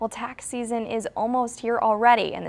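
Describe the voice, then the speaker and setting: Noticeable background noise runs under a woman's voice. She speaks fairly quickly at a fairly high pitch. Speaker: TV reporter and anchor. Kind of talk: TV news reporting.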